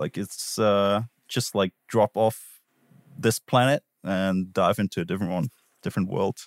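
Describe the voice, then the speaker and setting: Recorded with a dry, close sound and no echo, a man talks at a moderate pace. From Switzerland / southern Germany alpine region. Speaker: podcast player and sound designer. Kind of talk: casual chat. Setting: remote call.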